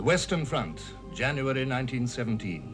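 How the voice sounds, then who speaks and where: With music in the background, a man with a British accent talks at a moderate pace with lively intonation. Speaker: narrator. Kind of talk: documentary narration.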